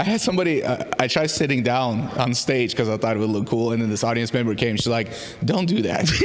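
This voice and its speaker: A man with a medium pitch talks at a very fast pace with ordinary pitch variation and very even loudness. Audible room echo and noticeable background noise surround him. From southern Russia (Krasnodar), born in Armenia. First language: Russian. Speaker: comedian. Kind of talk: casual chat.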